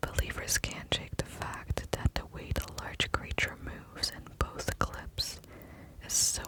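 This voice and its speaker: Whispering is heard through noticeable background noise. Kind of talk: ASMR book reading. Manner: whispered.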